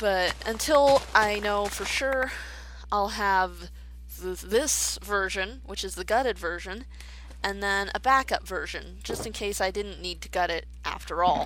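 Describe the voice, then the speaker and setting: Over noticeable background noise, a woman speaks quietly at a fairly slow pace. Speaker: gaming video creator. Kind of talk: let's play commentary. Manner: hesitant, filler-heavy.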